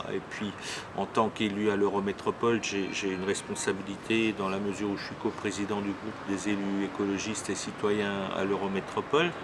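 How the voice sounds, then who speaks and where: A man with a fairly low voice speaks at a moderate pace in a monotone, flat intonation, with noticeable background noise behind him. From Alsace, France. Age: 60s. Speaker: local politician. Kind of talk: self-introduction interview. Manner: halting, many hesitations.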